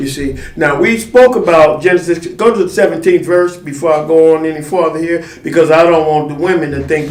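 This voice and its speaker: Audible room echo surrounds a man speaking at a fairly quick pace. His pitch is fairly high, with ordinary variation. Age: 60s. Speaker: elder and teacher. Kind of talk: religious teaching chat.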